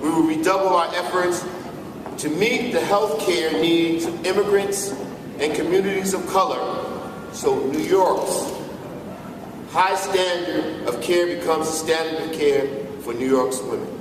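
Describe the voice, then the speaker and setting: A man talks at a fairly slow pace with long, frequent pauses, high pitch and ordinary pitch variation. Background noise is noticeable. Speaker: state senator, Senate Democratic leader. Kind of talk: political speech at a rally.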